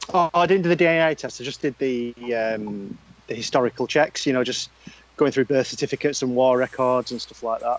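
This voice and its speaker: A man with a Northern English accent at medium pitch, fairly quick pace and ordinary pitch variation, in a dry, close sound with no echo. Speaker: podcast co-host. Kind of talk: casual chat.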